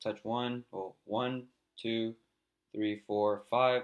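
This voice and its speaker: A man speaks here. His intonation is monotone and flat. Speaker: crypto trading video host. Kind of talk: technical analysis tutorial. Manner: fast.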